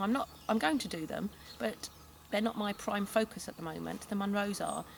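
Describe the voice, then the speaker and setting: A woman with an English accent at a medium pitch, talking at a fairly quick pace over noticeable background noise. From England. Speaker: hillwalker. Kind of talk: interview. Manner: casual.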